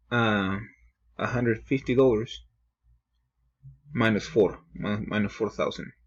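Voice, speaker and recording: A man speaks fairly slowly with vocal fry and fairly even intonation. He leaves long, frequent pauses. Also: medium pitch for a man. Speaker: student presenting accounting homework. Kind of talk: tutorial. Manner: halting, with self-corrections.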